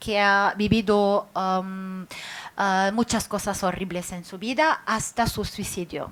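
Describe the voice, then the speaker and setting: A woman at medium pitch with a non-native accent, fairly slow pace, very clean recording, silent background. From Lebanon. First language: Arabic (speaking Spanish). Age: 40s. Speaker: writer. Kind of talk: public talk. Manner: halting, many fillers.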